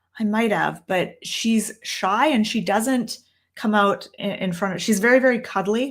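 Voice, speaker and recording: In a Canadian accent, a woman with a normal speaking voice talks at a fairly slow pace, her fairly high pitch held in fairly even intonation. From Canada. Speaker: tarot reader and teacher. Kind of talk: live stream Q&A. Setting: downstairs room, live stream on laptop. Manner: casual, with many fillers.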